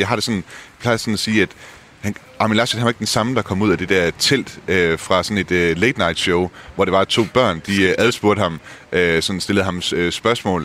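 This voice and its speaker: This man's voice is fairly low, with ordinary pitch variation. He keeps a moderate pace while noticeable background noise runs underneath. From Denmark. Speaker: journalist, Germany correspondent. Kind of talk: casual chat.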